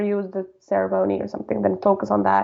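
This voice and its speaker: This is a woman speaking. She has a Spanish accent. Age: 20s. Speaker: podcast guest. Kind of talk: interview. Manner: casual, filler-heavy.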